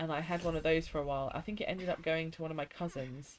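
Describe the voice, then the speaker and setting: Someone speaks with a strong English accent over noticeable background noise. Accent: strong regional English accent she dislikes. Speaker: gaming streamer. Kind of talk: casual chat while live-streaming a game. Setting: live stream from home. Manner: casual, chatty.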